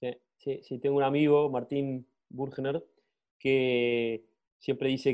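Monotone, flat intonation marks this fairly slow speech. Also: man. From Argentina. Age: 30s. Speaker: product manager. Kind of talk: interview conversation.

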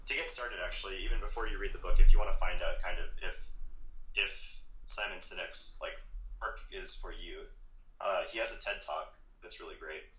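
Raised and projected, a man's extremely high voice moves at a fairly quick pace with ordinary pitch variation, long, frequent pauses and big swings in loudness. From Hawaii. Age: 20s. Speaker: coffee shop manager and barista. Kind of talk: casual interview chat.

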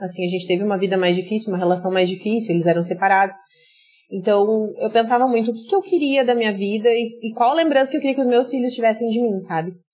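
A woman talks at a very fast pace with a fairly high pitch. Her pitch varies in an ordinary way. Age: 30s. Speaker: influencer and entrepreneur, former teacher. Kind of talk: podcast interview.

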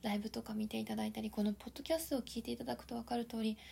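A woman speaks with a dark, mellow tone at a fairly high pitch. Her voice is somewhat breathy, with lively intonation. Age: 30s. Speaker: life coach podcaster. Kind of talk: solo podcast talk. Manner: polite.

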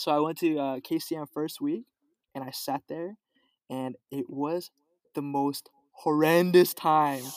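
Speaking at a very slow pace with long, frequent pauses, a man with an American accent keeps a fairly even intonation in a dry, close sound with no echo. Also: fairly high pitch for a man. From Los Angeles, California. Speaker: guest. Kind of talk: casual chat. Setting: video call.

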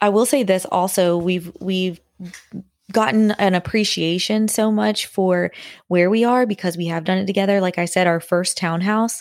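A woman talks at a moderate pace in an ordinary speaking voice, medium in pitch with fairly even intonation. The recording is very clean, with a silent background. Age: 20s. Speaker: podcast co-host, married couple. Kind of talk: casual chat.

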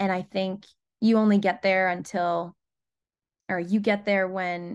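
A woman with an American accent speaks at a medium pitch in an ordinary speaking voice, her intonation fairly even against a quiet background. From US Northeast, Rhode Island. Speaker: singer-songwriter. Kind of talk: interview, casual chat.

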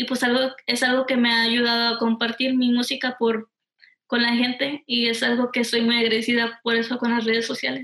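A woman at a high pitch and moderate pace, with very even loudness and monotone, flat intonation. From Texas, Houston. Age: 20s. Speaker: musician. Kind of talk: interview. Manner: halting.

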